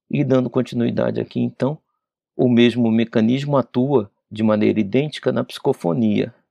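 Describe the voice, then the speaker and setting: In a normal speaking voice, this man keeps a moderate pace, his pitch medium and its variation ordinary. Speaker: spiritist study leader. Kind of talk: lecture. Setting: radio/TV broadcast studio.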